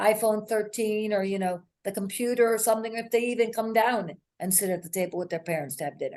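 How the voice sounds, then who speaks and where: An unremarkable speaking voice from a woman, fairly high in pitch with ordinary pitch variation, at a fairly quick pace. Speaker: podcast host. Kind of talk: podcast interview conversation.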